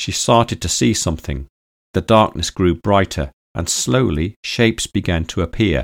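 An unforced reading voice is heard with little noise behind it.

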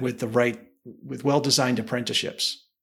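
The man speaks with a noticeable vocal fry. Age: 50s. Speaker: engineering firm leader and consultant. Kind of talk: casual interview chat.

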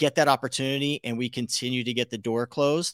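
In a very clean recording with a silent background and a dry, close sound with no echo, a man with a Californian accent talks at a very fast pace. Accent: Californian American. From US West Coast (Los Angeles area). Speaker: podcast host. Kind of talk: interview.

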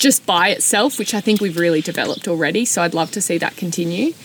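An Australian accent over noticeable background noise. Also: woman. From rural New South Wales, Australia. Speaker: non-profit CEO. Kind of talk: interview. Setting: outdoors in the back of a ute.

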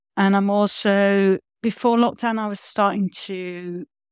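On a very clean recording with a silent background and a dry, close sound with no echo, a woman with a London accent speaks fairly slowly at a medium pitch. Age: 50s. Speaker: facilitator and consultant. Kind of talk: casual interview.

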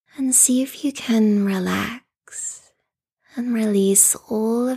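At a very slow pace, a woman speaks in a soothing, calm tone with ordinary pitch variation. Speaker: restorative yoga teacher. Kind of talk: guided meditation. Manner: slow, soothing, calm; soft-spoken, gentle, with long pauses.

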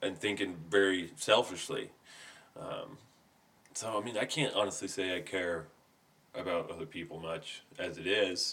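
Mumbling his words, a man speaks at a fairly slow pace. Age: 30s. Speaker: podcast guest, friend of host. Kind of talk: casual chat. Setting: home studio. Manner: varies between mumbling and boisterous.

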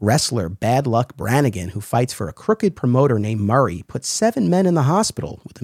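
On a very clean recording with a silent background and a dry, close sound with no echo, a man with a normal speaking voice talks at medium pitch and a fairly quick pace, with lively intonation and hardly any pauses. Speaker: podcast host. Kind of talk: scripted intro and casual interview chat.

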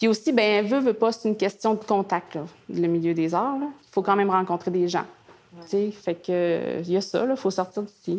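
A woman speaks at a moderate pace with medium pitch and ordinary pitch variation. She has a plain, everyday voice. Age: 30s. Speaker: visual artist and author. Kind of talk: interview. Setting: artist studio.

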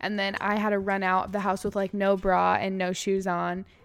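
This woman has a plain, everyday voice with an American accent. Her pitch sits in the medium range, and her intonation stays fairly even. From California. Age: 20s. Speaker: podcast host. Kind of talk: casual chat.

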